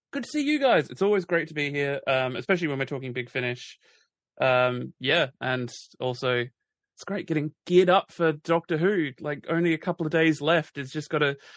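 Someone with an Australian accent speaks at a fairly quick pace, with a dry, close sound and no echo. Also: man, fairly high pitch for a man, ordinary pitch variation. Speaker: podcast co-host. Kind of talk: casual chat.

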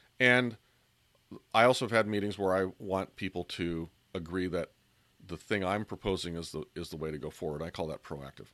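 Speaking at a fairly quick pace with long, frequent pauses, a man with a very deep, low voice and ordinary pitch variation has a bright, sharp tone, recorded dry and close with no echo on a very clean, silent background. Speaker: podcast host. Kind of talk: solo podcast talk on persuasion tips.

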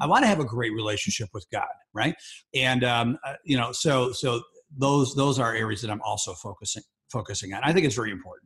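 A man talks at a fairly quick pace, his pitch medium with ordinary variation. His tone is fairly bright, with a slightly husky edge.

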